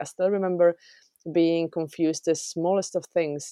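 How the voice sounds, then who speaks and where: A woman with a Czech accent speaks quickly enough, at a fairly low pitch and in a dark, mellow tone, in a very clean, dry, close recording with no echo and a silent background. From Czech Republic. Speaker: software developer. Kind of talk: interview.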